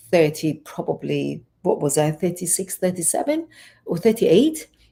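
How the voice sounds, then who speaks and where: At a moderate pace, a woman talks with a strong Iranian accent. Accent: Iranian accent, thick. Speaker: life coach and fitness trainer. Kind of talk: interview, personal story.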